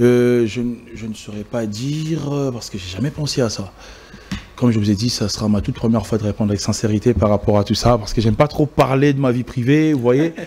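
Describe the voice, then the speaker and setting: This man has a medium pitch and ordinary pitch variation. He talks at a fairly quick pace. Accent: Congolese. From DR Congo, Kinshasa. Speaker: event host and emcee. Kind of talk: interview. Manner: hesitant.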